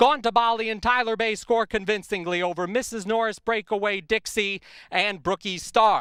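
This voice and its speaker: A man projects a raised, high-pitched voice with a bright, sharp tone. The sound is dry and close, with no echo. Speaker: horse race commentator. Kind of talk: horse race commentary.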